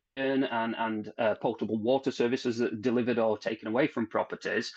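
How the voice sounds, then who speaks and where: A man talks at a fairly quick pace in a Barnsley accent. The background is quiet. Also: dry, close sound with no echo. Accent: Barnsley accent, noticeable. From South Yorkshire, Barnsley. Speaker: technical manager at plumbing manufacturer. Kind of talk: interview conversation.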